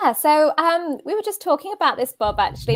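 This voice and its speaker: A woman with a British accent is heard dry and close with no echo, on a very clean recording with a silent background. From southern England, near Brighton. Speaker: career coach. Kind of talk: interview. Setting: live video stream.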